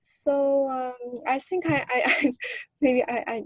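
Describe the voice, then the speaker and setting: A woman with a non-native accent, speaking at a very slow pace. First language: not English. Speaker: graduate student mentee. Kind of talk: workshop introduction. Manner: halting.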